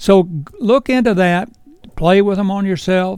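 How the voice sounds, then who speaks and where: Here a man talks in a Virginia accent. His intonation is lively. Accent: Virginia Southern. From US South, Shenandoah Valley, Virginia. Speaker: fly shop owner and fishing instructor. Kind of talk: tutorial. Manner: casual, unhurried.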